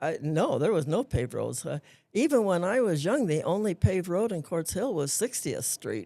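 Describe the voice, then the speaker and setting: Vocal fry runs through a woman's dark, mellow voice as she speaks with an American accent at a moderate pace, her pitch swinging very widely. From US West, Antelope Valley, southern California. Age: 80s+. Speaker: retired school principal. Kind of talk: casual interview. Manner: halting.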